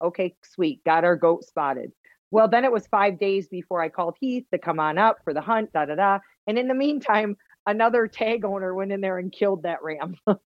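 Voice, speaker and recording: The speaker uses a Wisconsin accent at a fairly quick pace. Pitch variation is ordinary. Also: woman, medium pitch for a woman. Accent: Midwest (Wisconsin) accent, kept. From Wisconsin, Fort Atkinson. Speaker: hunter and outdoor TV personality. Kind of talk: casual interview chat.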